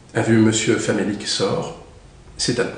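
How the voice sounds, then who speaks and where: Fairly slow speech from a man at medium pitch. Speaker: actor. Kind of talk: audiobook reading.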